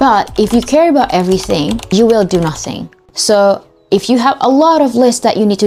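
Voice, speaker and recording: Speaking at a moderate pace, a woman with an Indonesian accent uses lively intonation. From Indonesia, Jakarta. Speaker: study tips vlogger. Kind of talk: casual tutorial.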